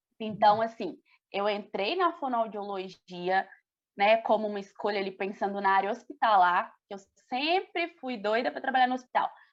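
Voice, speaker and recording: A woman speaks with lively intonation at a moderate pace. Her pitch sits fairly high. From Brazil, Belo Horizonte (Minas Gerais). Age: 20s. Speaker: speech therapist. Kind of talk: casual chat.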